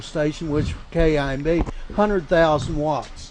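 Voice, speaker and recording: Against noticeable background noise, a man with a fairly high pitch speaks at a fairly quick pace with fairly even intonation. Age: 70s. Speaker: radio host. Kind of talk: casual chat.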